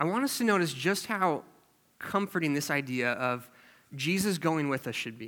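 A man's fairly high voice, bright and sharp, with lively intonation at a moderate pace, in a very clean recording with a silent background. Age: 20s. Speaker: youth group leader preaching. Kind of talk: sermon. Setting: church. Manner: casual, filler-heavy.

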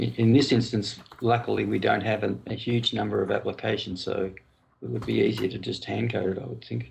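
At a fairly quick pace, a man talks with an Australian accent. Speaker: IT manager. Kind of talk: casual roundtable discussion. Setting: call late at night.

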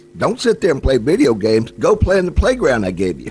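A man with a fairly high pitch swings very widely in pitch. Noticeable background noise runs behind him. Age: 60s. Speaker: outdoors radio host. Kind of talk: radio interview.

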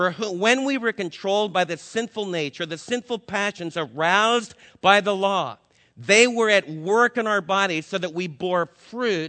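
Loud and at a moderate pace, a man with an American accent speaks at a high pitch with ordinary pitch variation. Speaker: Bible teacher. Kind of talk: sermon. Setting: stage with audience.

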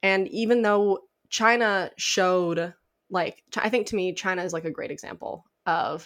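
A woman with an American accent speaks in an ordinary speaking voice at a medium pitch and a fairly slow pace. The recording is very clean, with a silent background. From Illinois, US Midwest. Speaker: nuclear engineering PhD student and advocate. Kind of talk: interview.

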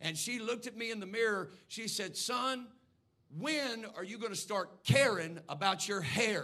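Raised and projected, a man's high voice has a bright, sharp tone and ordinary pitch variation at a moderate pace, with audible room echo. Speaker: pastor. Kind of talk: sermon. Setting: church. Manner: measured, not hollering.

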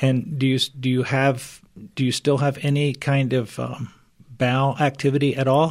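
Monotone and flat in intonation, a man talks at a moderate pace. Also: medium pitch for a man. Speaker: chiropractor and functional medicine practitioner. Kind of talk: radio interview. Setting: studio.

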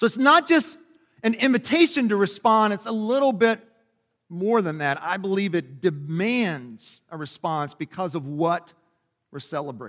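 In a Kentucky accent, a man with a high voice talks at a moderate pace through very wide pitch swings. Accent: Kentucky Southern American. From Kentucky, US South. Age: 40s. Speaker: pastor. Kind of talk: sermon. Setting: church.

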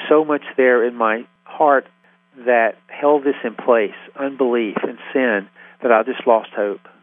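A man with an American accent speaks at medium pitch with ordinary pitch variation. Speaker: ministry founder. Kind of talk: radio interview.

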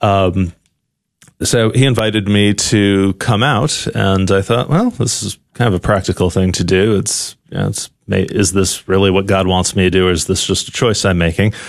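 Against a quiet background, a man with an American accent talks at a moderate pace in an unremarkable speaking voice, fairly low in pitch with fairly even intonation. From New Haven, Connecticut. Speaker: seminarian. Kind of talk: radio interview.

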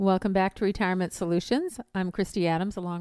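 A woman with an American accent has a normal speaking voice at medium pitch. She talks at a fairly quick pace in a dry, close sound with no echo. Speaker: financial radio host. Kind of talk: radio ad pitch, upbeat promo read of phone number and free review offer. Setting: radio studio. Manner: bright, clear, repetitive.

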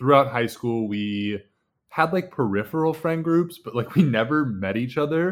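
A man with an ordinary speaking voice talks at a moderate pace with lively intonation. The recording is very clean, with a silent background. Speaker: former college basketball player. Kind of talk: casual chat.

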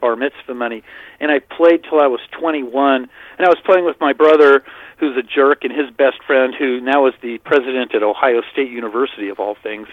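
At a moderate pace, a man with an unremarkable speaking voice talks in a fairly high pitch that shows ordinary variation. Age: 60s. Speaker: fantasy baseball writer. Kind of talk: casual chat.

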